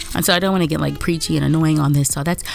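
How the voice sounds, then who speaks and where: Music plays in the background as a woman talks. Her very deep, low voice keeps a fairly even intonation. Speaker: artist and video creator. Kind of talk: voiceover commentary over drawing video. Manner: fast; casual, rambling with fillers.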